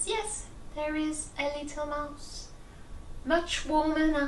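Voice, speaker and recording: Over clear background noise, a woman puts on a character voice with a high pitch. She speaks at a fairly slow pace. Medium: solo performance. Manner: gentle, welcoming.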